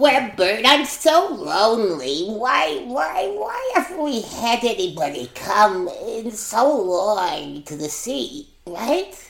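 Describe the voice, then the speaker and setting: A put-on character voice at a fairly high pitch and very slow pace, with slight echo. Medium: stage play.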